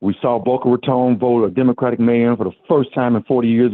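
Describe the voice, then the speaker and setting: At a fairly quick pace, a man with an unremarkable speaking voice talks at a medium pitch. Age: 60s. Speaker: caller. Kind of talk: call-in comment.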